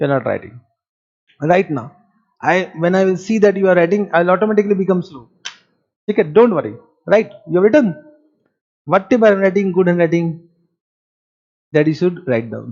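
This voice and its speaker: Fairly quick delivery in an Indian accent, broken by long, frequent pauses. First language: Marwari. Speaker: accounting teacher. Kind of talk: lecture. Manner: animated.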